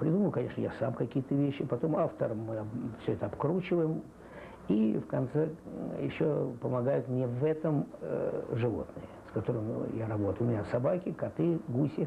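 A man speaks at a moderate pace over light background noise. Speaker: animal trainer. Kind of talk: interview answer.

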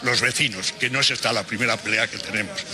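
Very fast pace over light background noise. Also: man. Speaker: retired neighbourhood activist. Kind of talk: interview answer. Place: street. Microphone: handheld.

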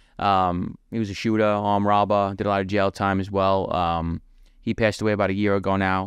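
Over a quiet background with a dry sound and no echo, a man with a New York accent and fairly low pitch speaks at a fairly quick pace in a monotone, flat intonation at very even loudness. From New York City (Brooklyn, Queens); New York City. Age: 30s. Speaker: former mafia member; podcast guest. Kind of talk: interview, life story. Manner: casual, conversational. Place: home room. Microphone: studio mic.

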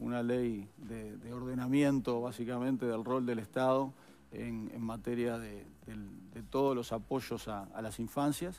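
The man talks at a fairly slow pace. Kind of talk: interview answer. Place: studio. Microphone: headset.

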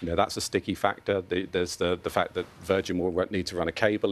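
A man in a British accent speaks very fast. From UK. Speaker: consumer telecoms analyst. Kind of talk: TV news interview. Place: studio. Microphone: lapel.

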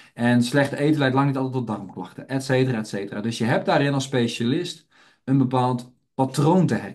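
A man's medium-pitched voice, fairly quick and with ordinary pitch variation, plus audible room echo. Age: 30s. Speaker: health educator and trainer. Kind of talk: webinar lecture. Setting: online webinar.

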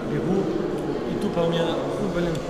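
A man at a fairly quick pace amid loud background noise and audible room echo. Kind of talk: casual chat, recounting a run. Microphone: phone near.

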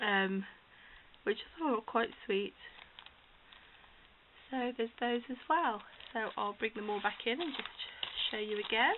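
Over light background noise, a woman with a British accent speaks at a fairly slow pace and a fairly high pitch, with ordinary pitch variation and long, frequent pauses. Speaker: crafter hosting a giveaway. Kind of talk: casual talk to camera. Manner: hesitant, many fillers. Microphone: phone near.

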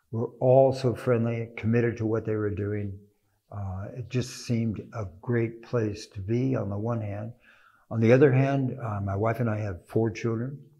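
A somewhat breathy man with a dark, mellow tone, fairly even intonation and a moderate pace. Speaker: interviewee. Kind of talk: interview answer. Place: tunnel cave. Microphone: lapel.

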